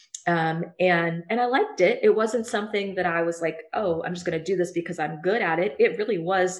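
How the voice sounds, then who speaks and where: With a Midwestern US accent, a woman at a medium pitch talks at a fairly quick pace with ordinary pitch variation and hardly any pauses. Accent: US Midwest. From Ohio, Cincinnati area. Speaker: career center director. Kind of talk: interview.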